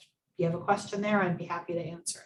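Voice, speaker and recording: This woman speaks at a medium pitch. Her intonation stays fairly even. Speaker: elder law attorney. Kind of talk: presentation with Q&A. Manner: fast.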